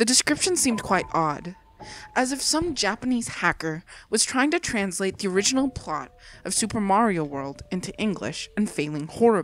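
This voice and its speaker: With music in the background, a woman of medium pitch speaks at a moderate pace, her pitch swinging very widely. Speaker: horror story narrator. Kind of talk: creepypasta story reading.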